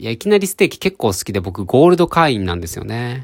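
A man speaks at a very fast pace with very wide pitch swings. The recording is very clean, with a silent background. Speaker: podcaster. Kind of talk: solo storytelling. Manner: animated.

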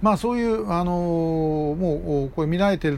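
The speaker is male, and his voice sits fairly high. Its pitch moves up and down in a normal way. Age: 60s. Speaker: podcast host, activist. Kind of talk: solo commentary monologue. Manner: frequent filler hesitations.

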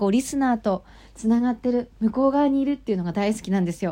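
On a very clean recording with a silent background, a woman with a fairly high pitch talks very fast with lively intonation. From Japan, Nagano Prefecture. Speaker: radio personality. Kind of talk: casual talk radio monologue with letter reading. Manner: imitates local FM reporter style while reading.

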